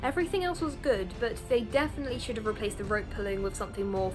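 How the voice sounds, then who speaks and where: A woman's voice with lively intonation and music in the background. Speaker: game show reviewer. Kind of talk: casual review talk to camera.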